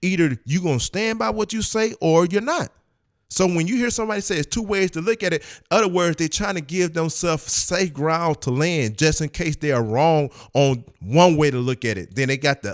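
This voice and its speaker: Fairly high-pitched for a man, this speaker has an animated tone and very wide pitch swings at a fairly quick pace. The recording is very clean with a silent background and a dry, close sound with no echo. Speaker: religious commentator reacting to videos. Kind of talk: reaction video commentary.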